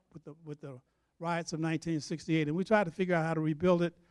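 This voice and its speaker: The sound is dry and close, free of echo. A man rattles along at a very fast pace. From US South, Georgia (Newnan). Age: 80s+. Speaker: museum director and civil rights veteran. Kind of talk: public talk. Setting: church with audience. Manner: halting, repeats words.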